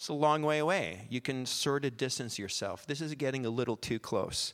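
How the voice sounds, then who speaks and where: A man with a Western Canadian accent speaks at a medium pitch. The recording is very clean, with a silent background. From Canada, small-town Alberta. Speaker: lay preacher, former missionary. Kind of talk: sermon. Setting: church, holding a microphone.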